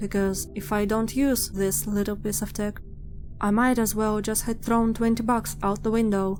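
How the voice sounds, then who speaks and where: Audible room echo surrounds a woman with a fairly high pitch. She talks at a moderate pace with monotone, flat intonation. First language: not English. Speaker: digital artist / speedpaint youtuber. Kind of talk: casual voiceover commentary.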